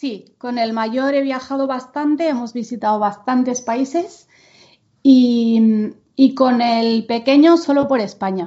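A woman's high voice moves along very slowly, its pitch rising and falling in an ordinary way. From Spain, Menorca. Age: 40s. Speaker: podcast co-host, homeschooling mother. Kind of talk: casual chat.

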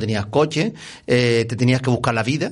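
A man talks fairly quickly in a normal speaking voice at a medium pitch. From Canary Islands, Gran Canaria. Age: 60s. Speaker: former basketball referee and professor. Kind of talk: interview.

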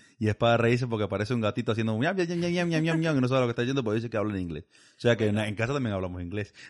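Lively in intonation and very fast in pace, a man speaks at a medium pitch. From Cuba, Villa Clara province. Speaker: immigrant interviewee. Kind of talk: interview.

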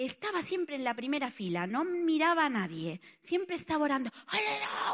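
Speaking with an Italian accent, a woman uses a high voice with very wide pitch swings at a moderate pace. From Spain, Barcelona. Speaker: preacher. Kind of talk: sermon.

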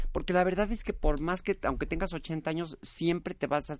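A woman with a normal speaking voice speaks at a fairly low pitch and a moderate pace. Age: 50s. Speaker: actress. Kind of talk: interview.

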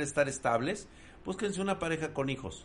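A man with a Mexican accent, fairly high pitch, lively intonation and an animated tone. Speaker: tech streamer. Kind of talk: casual live stream chat. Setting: live stream.

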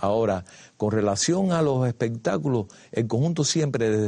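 A man's fairly low, dark and mellow voice at a moderate pace with lively intonation over a quiet background. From Cuba. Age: 70s. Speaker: dancer and choreographer. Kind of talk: casual chat. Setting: studio.

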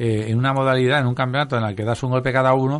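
Against a quiet background, a man talks very fast at medium pitch with fairly even intonation. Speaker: radio host. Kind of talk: casual chat. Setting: studio.

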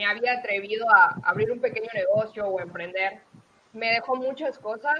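A woman talks at a moderate pace in a fairly high pitch with ordinary pitch variation. It is a plain, everyday voice. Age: 20s. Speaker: accountant and aspiring speaker. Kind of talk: interview.

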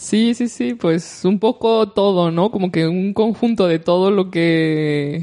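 A woman's very slow, dark and mellow voice in a Mexican accent, with hardly any pauses and very even loudness. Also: medium pitch for a woman, ordinary pitch variation. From Mexico, León (central Mexico). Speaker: language school director. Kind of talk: interview.

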